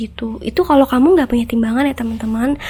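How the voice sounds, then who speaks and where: Over noticeable background noise, a woman talks in a high voice with fairly even intonation. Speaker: online seller and video creator. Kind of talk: tutorial. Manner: casual, hesitant with fillers.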